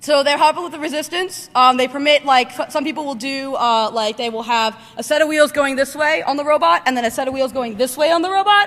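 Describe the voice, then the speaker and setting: With a bright, sharp tone and lively intonation, a woman speaks at a high pitch. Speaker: conference speaker on robotics. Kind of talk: conference talk. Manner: fast; casual with many fillers.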